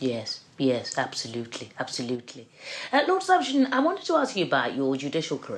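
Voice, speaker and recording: Background noise is clearly audible. Through it, a woman talks at a fairly brisk clip. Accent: English. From England. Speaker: barrister and podcast host. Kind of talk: interview.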